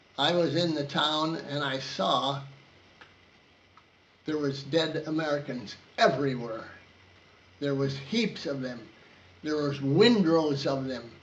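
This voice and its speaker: A very slow pace with long, frequent pauses and ordinary pitch variation, over noticeable background noise. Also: man, fairly high pitch for a man. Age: 80s+. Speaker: war veteran. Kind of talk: interview answer.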